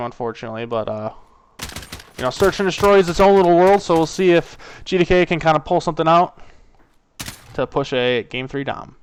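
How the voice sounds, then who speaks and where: With lively intonation and a fairly high pitch, a man talks at a fairly quick pace broken by long, frequent pauses. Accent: strong Wisconsin. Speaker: esports caster. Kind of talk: live commentary. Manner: casual, filler-heavy.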